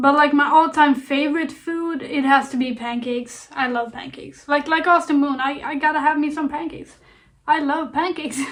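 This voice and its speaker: Fairly quick and fairly even in intonation, the speech comes in a Swedish accent. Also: woman, high pitch for a woman. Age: 20s. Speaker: YouTuber. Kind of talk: casual Q&A vlog. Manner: calm.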